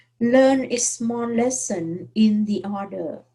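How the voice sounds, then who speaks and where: Somewhat breathy and fairly high in pitch, a woman talks at a very slow pace with a dark, mellow tone and lively intonation. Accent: non-native. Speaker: math teacher. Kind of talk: online course introduction. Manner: hesitant, many fillers.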